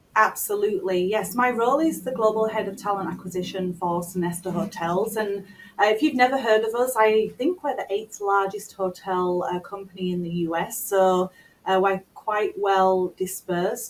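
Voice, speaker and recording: A woman's medium-pitched voice with a British accent and fairly even intonation. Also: hardly any pauses. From United Kingdom. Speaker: talent acquisition executive. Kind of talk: interview.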